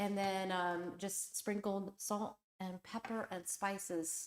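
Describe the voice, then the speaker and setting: A woman speaks at a medium pitch. Her pace is very slow. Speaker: home and lifestyle YouTuber. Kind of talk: live stream chat and cooking demo. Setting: live stream, on vacation in Greece. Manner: loud.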